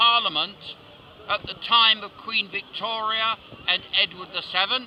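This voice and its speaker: A man with a high pitch speaks fairly slowly, with noticeable background noise around him. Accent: British. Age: 70s. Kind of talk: interview answer.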